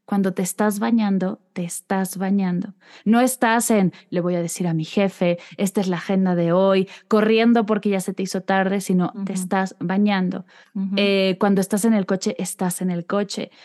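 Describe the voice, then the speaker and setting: A woman's medium-pitched voice, dark and mellow in tone, with fairly even intonation and a moderate pace, dry and close with no echo against a quiet background. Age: 30s. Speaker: meditation guide. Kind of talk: interview conversation.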